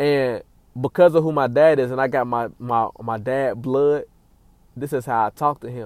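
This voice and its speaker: A man with an American accent speaks at a medium pitch and a moderate pace, with fairly even intonation. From Cincinnati, Ohio, US Midwest. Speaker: podcast host. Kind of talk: solo casual monologue. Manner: rambling, many fillers and repetitions.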